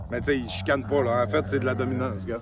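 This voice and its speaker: A man speaks at a fairly quick pace. There is noticeable background noise throughout. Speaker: dog trainer. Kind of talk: casual vlog talk. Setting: outdoors on a trail with dogs. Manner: loud.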